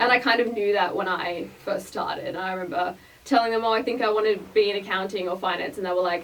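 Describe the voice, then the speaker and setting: A woman with an Australian accent speaks at a very fast pace and a medium pitch. Her pitch variation is ordinary, and noticeable background noise sits behind her. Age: 20s. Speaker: portfolio manager. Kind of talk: podcast interview. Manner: animated.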